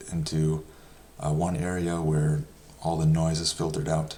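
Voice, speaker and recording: A soft-spoken man with a very deep, low pitch, monotone, flat intonation and a moderate pace. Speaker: personal finance youtuber. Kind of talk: casual explainer talk. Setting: home. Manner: halting with many fillers.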